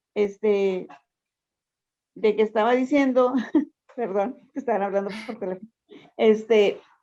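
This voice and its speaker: A woman speaks at a fairly slow pace in a fairly high pitch, her tone dark and mellow and her intonation fairly even. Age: 60s. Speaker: workshop participant. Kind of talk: testimony. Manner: halting.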